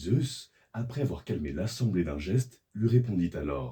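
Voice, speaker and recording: A somewhat breathy, dark, mellow voice at a fairly slow pace, with very wide pitch swings. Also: man. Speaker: voice actor in training. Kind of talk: mythological story narration. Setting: studio.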